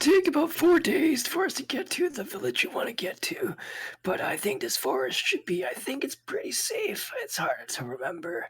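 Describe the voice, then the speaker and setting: A man uses a raspy, put-on character voice with an extremely high pitch, at a moderate pace. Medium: actual play. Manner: easygoing, hesitant, filler-heavy.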